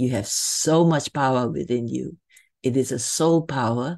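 A woman with a very deep, low pitch and a dark, mellow tone talks at a fairly slow pace with ordinary pitch variation over a quiet background. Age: 70s. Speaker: podcast host. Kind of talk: scripted outro; interview.

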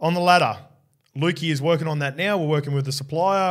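A man's somewhat breathy, fairly high voice with an Australian accent and fairly even intonation. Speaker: rugby league podcast host, former player. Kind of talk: casual sports chat.

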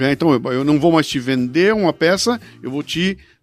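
A man with an animated tone, lively intonation and a fairly quick pace. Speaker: writer and podcast host, invited speaker. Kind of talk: casual chat.

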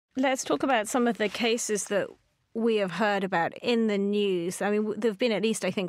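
In a very clean recording with a silent background, a woman talks in an unremarkable speaking voice, medium in pitch, with fairly even intonation. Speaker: podcast co-host. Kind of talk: podcast discussion and interview.

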